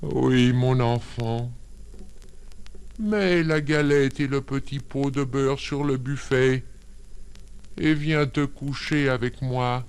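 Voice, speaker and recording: Using a put-on character voice at medium pitch, a man speaks very slowly, leaving long, frequent pauses. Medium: read story. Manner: sly, coaxing.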